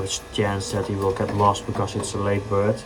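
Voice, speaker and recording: Someone speaks with a Dutch accent over noticeable background noise. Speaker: pigeon fancier. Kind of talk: casual tutorial.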